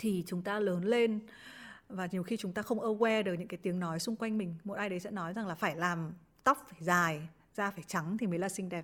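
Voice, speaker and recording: At a fairly quick pace, a woman with a plain, everyday voice speaks at a medium pitch and with fairly even intonation. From Vietnam, Hai Phong. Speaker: former radio presenter and journalist. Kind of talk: podcast interview, casual chat. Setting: remote online recording.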